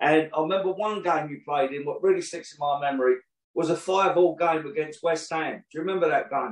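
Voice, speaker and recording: A man with a London accent talks at a fairly quick pace in a fairly high voice with fairly even intonation. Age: 60s. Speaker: podcast host. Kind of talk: interview.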